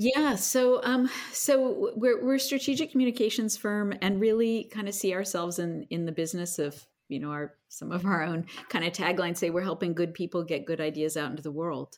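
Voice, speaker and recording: At a fairly quick pace, a woman with an American accent speaks at medium pitch, her voice making very wide pitch swings. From US Northeast (central New Jersey). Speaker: speechwriter. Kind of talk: interview. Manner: halting, many fillers.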